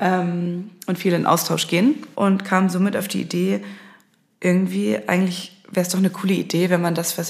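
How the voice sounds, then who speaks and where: Somewhat breathy and fairly low-pitched, a woman talks at a fairly quick pace with ordinary pitch variation. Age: 20s. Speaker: social media agency founder and podcast host. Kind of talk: solo monologue. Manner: casual, with filler sounds.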